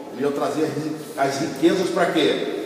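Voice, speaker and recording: Noticeable background noise and audible room echo surround the speech. The man talks very slowly. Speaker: apostle teaching a church class. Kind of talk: sermon-style Bible teaching.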